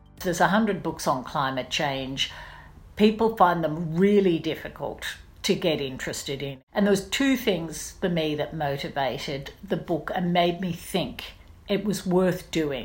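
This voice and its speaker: A woman with an Australian accent speaks at a moderate pace, somewhat breathy and fairly low in pitch, with lively intonation and audible room echo. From Australia, Brisbane. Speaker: investigative journalist. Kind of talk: interview.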